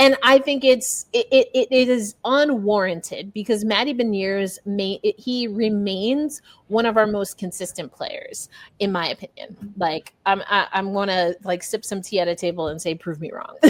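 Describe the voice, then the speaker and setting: A woman speaks with an American accent at a medium pitch and a moderate pace. Her tone is animated, with ordinary pitch variation. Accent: New York, comes out at times. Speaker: sports journalist and podcast host. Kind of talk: casual sports podcast chat.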